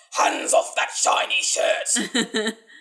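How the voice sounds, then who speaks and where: Here a man performs in a put-on character voice. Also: extremely high pitch for a man. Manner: shouting, commanding.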